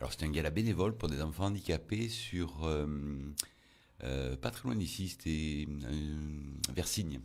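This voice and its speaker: A man's very deep, low voice holds a very even loudness throughout. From Provence, Toulon area. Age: 60s. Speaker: magician. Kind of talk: interview.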